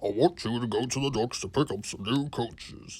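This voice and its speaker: Putting on a character voice, a man with a medium pitch speaks at a moderate pace with ordinary pitch variation. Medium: read story. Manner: authoritative.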